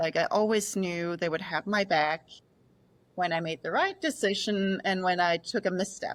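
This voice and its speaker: A woman's medium-pitched voice in a Danish accent, with ordinary pitch variation at a moderate pace. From Denmark, rural. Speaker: sleep scientist. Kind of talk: podcast interview.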